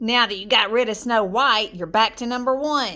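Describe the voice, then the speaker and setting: In a put-on character voice, a woman talks at a moderate pace. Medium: read story.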